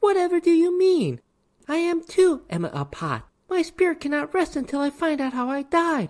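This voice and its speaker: This is a put-on character voice. It sounds squeaky and high-pitched. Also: moderate pace. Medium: read story. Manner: flirtatious, coy.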